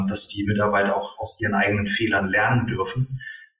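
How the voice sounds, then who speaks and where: A man talks at a moderate pace with a fairly low pitch and flat, monotone intonation. Music plays in the background. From northern Germany. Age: 40s. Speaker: tax advisor and coach. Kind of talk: interview. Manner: hesitant with many fillers.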